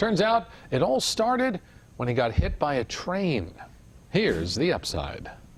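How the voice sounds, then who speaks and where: Using very wide pitch swings and some vocal fry, a man with a fairly high pitch speaks at a fairly slow pace. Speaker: TV news reporter. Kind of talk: TV news report narration.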